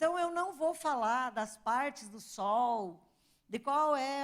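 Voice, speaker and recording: A woman speaks with lively intonation. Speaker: astrophysicist giving a talk. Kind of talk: lecture.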